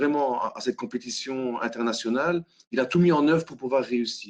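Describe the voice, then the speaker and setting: Using ordinary pitch variation, a man with a Belgian accent talks at a moderate pace and medium pitch. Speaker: hackathon facilitator. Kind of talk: web conference presentation. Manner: halting, many fillers.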